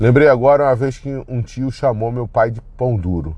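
The voice has a dark, mellow tone. It sounds somewhat breathy. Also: man. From Brazil. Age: middle-aged. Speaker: podcaster. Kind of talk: personal monologue. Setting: in a car. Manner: casual, rambling with fillers.

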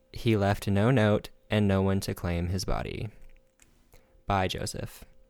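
In a very clean recording with a silent background, a man talks at a fairly slow pace with a fairly low pitch. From South Carolina. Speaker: true crime podcast host. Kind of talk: casual storytelling chat.

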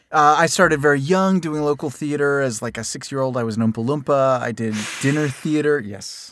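A man with an American accent talks at a fairly quick pace. His pitch is fairly high, with ordinary variation. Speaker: voiceover actor and podcast host. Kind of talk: casual chat, comedic banter. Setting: studio. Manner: playful, joking.

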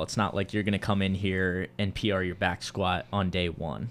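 At a moderate pace and fairly low pitch, a man talks in an unremarkable speaking voice. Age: 20s. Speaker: podcast host. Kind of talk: casual interview chat.

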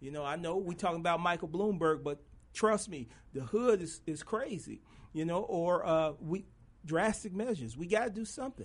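A man speaks at a moderate pace with lively intonation. His pitch is high. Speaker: fill-in radio host. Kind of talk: casual radio talk show. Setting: studio. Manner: animated, joking.

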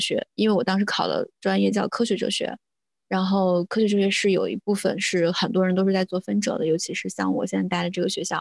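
A woman's unremarkable speaking voice, medium in pitch, at a fairly quick pace. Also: dry, close sound with no echo, very clean recording, silent background. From rural China. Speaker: religious studies graduate student. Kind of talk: casual chat.

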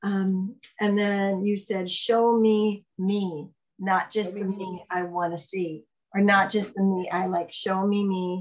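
Her speech is very slow and somewhat breathy. The woman's intonation stays monotone and flat. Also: medium pitch for a woman. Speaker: podcast host. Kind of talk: casual interview.

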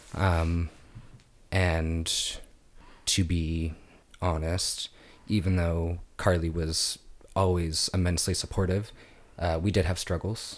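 In a very clean recording with a silent background, a man with an American accent speaks very slowly in a very deep, low pitch, his intonation monotone and flat, with long, frequent pauses. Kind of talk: casual chat.

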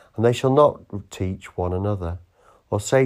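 An ordinary speaking voice from a man, fairly low in pitch, at a moderate pace on a very clean recording with a silent background. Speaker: church service leader. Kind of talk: morning prayer service, liturgical reading and fervent prayer. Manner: solemn, measured, reverent; fervent, heartfelt, devotional.

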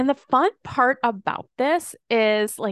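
A high-pitched woman speaks at a very slow pace with lively intonation. The sound is dry and close with no echo, over a quiet background. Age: 40s. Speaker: business coach for network marketers. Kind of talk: solo podcast monologue. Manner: casual, filler-heavy.

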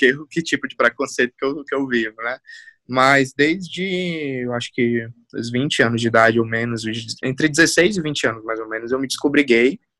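In a dry, close sound with no echo, a man speaks in a bright, sharp tone with ordinary pitch variation. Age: 20s. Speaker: university lecturer in marketing and communication. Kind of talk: casual chat.

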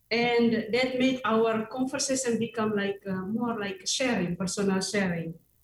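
Somewhat breathy delivery at a fairly slow pace. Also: woman. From Indonesia. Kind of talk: radio interview. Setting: video call into radio studio. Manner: halting.

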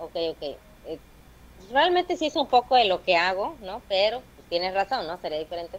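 Her pitch sits in a medium range for a woman yet swings very widely. Her loudness also rises and falls in big swings. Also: moderate pace. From Veracruz, Mexico. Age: 20s. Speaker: stand-up comedian. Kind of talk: casual chat.

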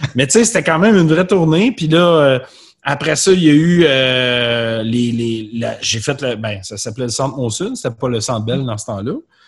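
A man speaks at a medium pitch and a moderate pace. His voice is somewhat breathy, with lively intonation. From Quebec, South Shore of Montreal. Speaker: musician. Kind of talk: casual chat. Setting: video call.

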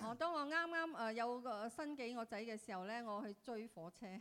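The tone is bright and sharp. The intonation is lively. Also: woman. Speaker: interpreter. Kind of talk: consecutive interpretation of a sermon, translating into Cantonese and Vietnamese. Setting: church. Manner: halting, with fillers, echoing the preacher sentence by sentence.

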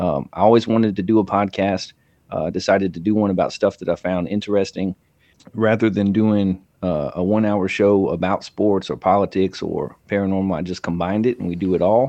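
An unremarkable speaking voice from a man, fairly low in pitch, fairly quick, with fairly even intonation. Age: 30s. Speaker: podcaster. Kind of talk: casual chat.

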